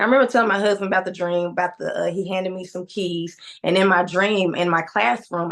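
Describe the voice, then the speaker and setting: The woman's pitch sits in the medium range and varies in an ordinary way. She speaks at a fairly quick pace. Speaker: teacher and church first lady sharing testimony. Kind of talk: testimony. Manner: quiet, shy speaker.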